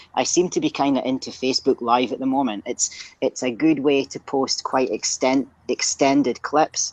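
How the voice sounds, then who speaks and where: In a Scottish accent, a woman with a very deep, low pitch speaks at a moderate pace with fairly even intonation, the sound dry and close with no echo. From northeast Scotland, Aberdeen. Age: 30s. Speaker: strength coach. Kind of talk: casual interview.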